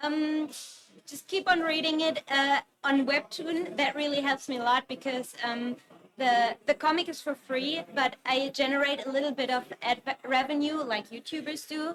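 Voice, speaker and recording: Over noticeable background noise, a woman with a German accent speaks at a high pitch and a moderate pace with fairly even intonation. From Germany. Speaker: webcomic artist. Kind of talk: interview. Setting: convention stage, livestream. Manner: hesitant, many fillers.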